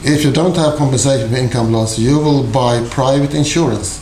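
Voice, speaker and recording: In a Swedish accent, a man speaks at a moderate pace and medium pitch with ordinary pitch variation, amid audible room echo and noticeable background noise. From Sweden. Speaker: university lecturer. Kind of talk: lecture.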